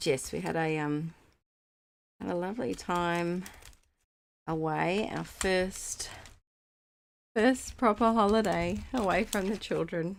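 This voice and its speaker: This speaker has an Australian accent and talks at a very slow pace. Long pauses come often, and the pitch varies in an ordinary way. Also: woman, fairly low pitch for a woman. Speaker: scrapbooking craft YouTuber. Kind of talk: casual livestream chat while crafting. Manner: halting, with fillers.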